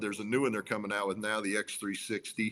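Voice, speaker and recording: At a fairly quick pace, a man talks in a normal speaking voice of medium pitch. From Central Utah. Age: 50s. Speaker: trapper and auctioneer. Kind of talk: casual interview chat.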